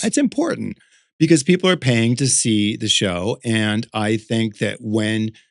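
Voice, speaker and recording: This man has an unremarkable speaking voice, talking at a fairly slow pace with medium pitch and ordinary pitch variation, in a dry, close sound with no echo. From Connecticut, USA. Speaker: drag performer and artist. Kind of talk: interview answer. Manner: casual, chatty.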